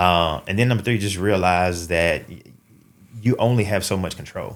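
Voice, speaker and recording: With a Southern US accent, a man speaks at a very deep, low pitch and a moderate pace. His intonation is fairly even, but his loudness swings widely. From Mississippi, US South. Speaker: father, bank employee. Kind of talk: podcast interview. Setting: studio.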